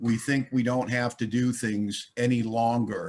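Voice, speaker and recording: A man with an American accent speaks at a fairly slow pace in an unremarkable speaking voice at medium pitch. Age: 60s. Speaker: recovering alcoholic speaker. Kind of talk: recovery meeting talk. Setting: online conference.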